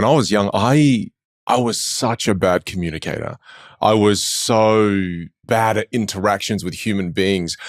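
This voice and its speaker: A man speaks with fairly low pitch and ordinary pitch variation. The recording is very clean, with a silent background. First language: Chinese dialect. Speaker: public speaking coach. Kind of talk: interview.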